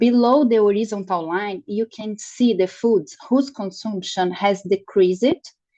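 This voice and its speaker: Her dark, mellow voice sits at a fairly high pitch with ordinary pitch variation. The woman talks at a fairly slow pace. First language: Portuguese. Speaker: nutrition researcher. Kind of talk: lecture. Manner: halting.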